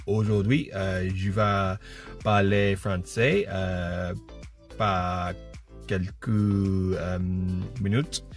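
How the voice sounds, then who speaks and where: Faint music plays in the background as a man speaks very slowly at a fairly low pitch with ordinary pitch variation and a dry sound with no echo. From Britain. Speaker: French learner. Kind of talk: casual vlog talk to camera. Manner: halting, hesitant beginner French. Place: car. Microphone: phone near.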